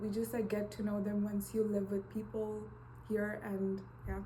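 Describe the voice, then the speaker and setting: A woman talks at medium pitch and a fairly slow pace, monotone and flat, with very even loudness. The recording carries audible room echo and noticeable background noise. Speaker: university student. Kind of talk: interview.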